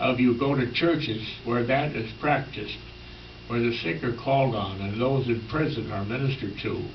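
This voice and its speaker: Ordinary pitch variation at a moderate pace, plus audible room echo. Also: man. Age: 90s. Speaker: retired minister. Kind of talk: sermon. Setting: health center chapel.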